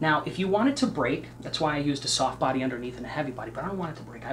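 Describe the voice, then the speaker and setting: Through noticeable background noise, the speech races by at a very fast pace. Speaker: painting instructor. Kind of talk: tutorial. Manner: casual, chatty.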